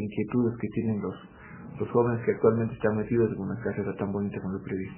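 Over music in the background, the voice moves at a very fast pace. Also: man. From Ecuador. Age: 30s. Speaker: newspaper editor. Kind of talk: interview. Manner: halting, many fillers.

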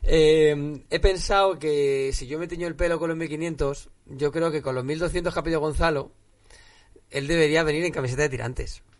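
Fairly high-pitched for a man, this ordinary speaking voice keeps fairly even intonation at a moderate pace. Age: 20s. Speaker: MMA podcast co-host. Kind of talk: casual chat.

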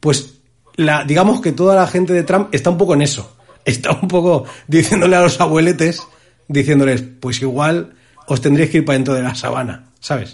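A man's fairly high pitch with ordinary pitch variation, in an ordinary speaking voice. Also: moderate pace. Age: 30s. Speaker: podcast host. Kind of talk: casual chat.

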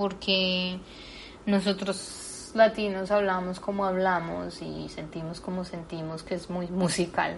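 At a very slow pace, a woman speaks in a somewhat breathy, medium-pitched voice with monotone, flat intonation. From Colombia, Bogotá. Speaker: actress and dancer. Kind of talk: interview conversation.

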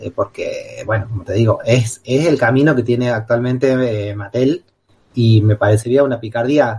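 A man's medium-pitched, somewhat breathy voice, at a moderate pace, with fairly even intonation. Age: 40s. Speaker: radio co-host and collector. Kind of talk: casual chat. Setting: radio studio. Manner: repetitive stammering.

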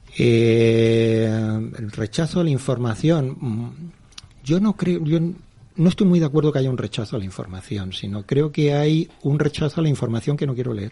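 The speech carries a slight southern Spanish accent and lively intonation. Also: man, medium pitch for a man, moderate pace. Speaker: media executive. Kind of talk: radio interview.

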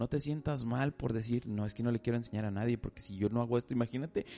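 Dark and mellow in tone, a man's voice sits at a medium pitch with fairly even intonation. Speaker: podcast host. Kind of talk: casual chat. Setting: studio. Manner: talkative.

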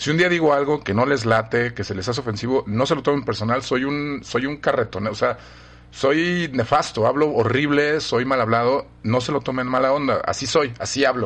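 A man with a Mexican accent talks at a moderate pace and medium pitch, using ordinary pitch variation. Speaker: professor. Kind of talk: casual chat.

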